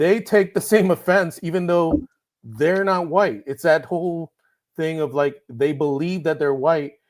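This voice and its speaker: Fairly high in pitch, a man speaks at a fairly slow pace. His pitch varies in an ordinary way. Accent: slight Puerto Rican. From Puerto Rico. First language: Spanish. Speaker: writer. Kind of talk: podcast interview.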